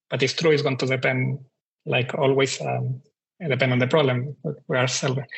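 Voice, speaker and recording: A man talks at a fairly quick pace with a Spanish accent. Vocal fry runs through his voice. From Chile. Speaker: startup CTO. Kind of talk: panel discussion.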